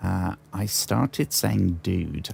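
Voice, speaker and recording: A man with a British accent and a very deep, low pitch, speaking very slowly with very wide pitch swings. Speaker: gaming streamer. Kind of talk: live gameplay stream chat. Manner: halting, frequent fillers.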